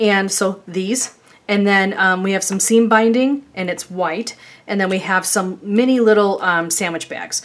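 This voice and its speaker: With a slight Chicago accent, a woman speaks at a fairly slow pace and with fairly even intonation. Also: medium pitch for a woman. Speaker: craft YouTuber. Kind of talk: tutorial. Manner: casual, chatty with many fillers.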